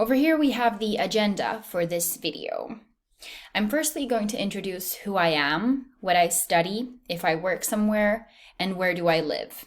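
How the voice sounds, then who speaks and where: Lively intonation marks this woman's voice. Her pitch is medium and her pace moderate. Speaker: university student. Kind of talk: recorded presentation. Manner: clear.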